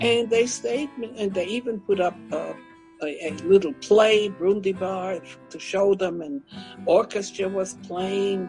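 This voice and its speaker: With music in the background, a woman of medium pitch speaks at a fairly slow pace, showing ordinary pitch variation and big swings in loudness. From Germany. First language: German. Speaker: Holocaust survivor, author and public speaker. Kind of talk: interview answer.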